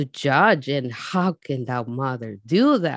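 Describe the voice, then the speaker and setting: With a Spanish accent and lively intonation, a woman speaks against a quiet background in a dry, close sound with no echo. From Mexico, Jalisco. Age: 40s. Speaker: immigrant storyteller. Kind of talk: personal testimony.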